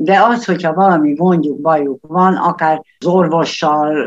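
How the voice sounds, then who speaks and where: A woman with a fairly low pitch speaks at a fairly slow pace. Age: 70s. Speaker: retired volunteer tutor. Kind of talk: radio interview.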